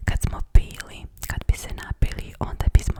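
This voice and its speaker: Against noticeable background noise, a woman whispers. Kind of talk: ASMR personal attention. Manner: whispered.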